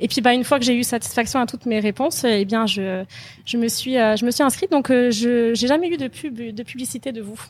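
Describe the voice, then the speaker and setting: A woman speaks fairly quickly at a high pitch. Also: ordinary pitch variation. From France. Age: 30s. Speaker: e-commerce entrepreneur, former bank employee. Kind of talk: testimony interview. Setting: recorded in Phuket. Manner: hesitant, many fillers.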